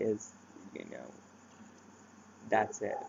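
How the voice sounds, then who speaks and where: A man's voice over noticeable background noise. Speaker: vlogger sharing mental health experience. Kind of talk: personal vlog talk. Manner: halting, many fillers.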